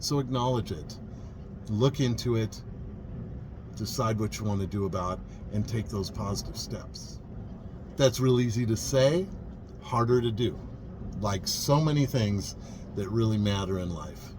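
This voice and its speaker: Relaxed in tone, a man with fairly low pitch speaks at a moderate pace with ordinary pitch variation, long, frequent pauses and audible room echo. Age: 50s. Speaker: vlogger, vintage RV traveler. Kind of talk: casual vlog monologue. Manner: relaxed, reflective.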